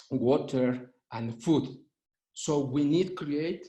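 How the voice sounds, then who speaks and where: A man with a Spanish accent, dark, mellow tone and fairly even intonation. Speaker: urban law expert. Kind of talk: panel presentation. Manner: halting, many fillers.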